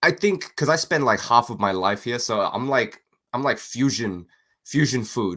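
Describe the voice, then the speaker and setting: This man's bright, sharp voice moves at a moderate pace with lively intonation, on a very clean recording with a silent background. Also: medium pitch for a man. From Singapore. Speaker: comic book creator. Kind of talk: casual chat. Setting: live stream.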